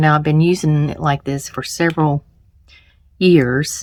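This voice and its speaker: In a very clean recording with a silent background, a woman with a slight Southern US accent speaks fairly slowly in a very deep, low voice. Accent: slight Southern drawl. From US South, Charlotte, North Carolina. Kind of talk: tutorial. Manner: casual, hesitant with fillers.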